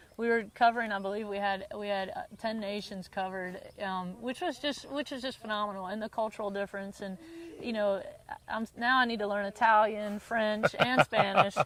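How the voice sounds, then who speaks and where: A woman's voice in a Southern US accent, with fairly even intonation. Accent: southern drawl. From US South (North Carolina, early years in Bermuda). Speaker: tennis teaching pro. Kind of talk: interview. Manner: frequent repetitions and restarts.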